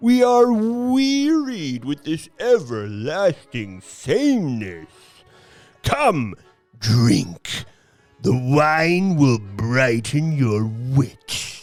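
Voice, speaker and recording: A man does a loud, put-on character voice at a fairly high pitch with very wide pitch swings. His pace is very slow, and faint music plays in the background. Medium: audio drama. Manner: bullying, loud.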